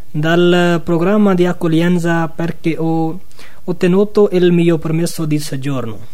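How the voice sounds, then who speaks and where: Amid noticeable background noise and audible room echo, a man with a Pakistani accent speaks at a fairly slow pace in a high pitch. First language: Urdu (speaking Italian). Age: 20s. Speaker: asylum seeker. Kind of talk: radio interview.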